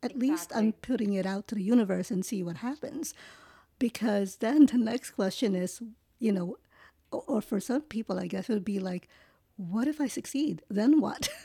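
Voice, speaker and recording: On a very clean recording with a silent background, a woman with a fairly high pitch, a dark, mellow tone and lively intonation speaks at a moderate pace, somewhat breathy. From Philippines-born, raised in New York. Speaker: podcast host. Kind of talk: interview conversation.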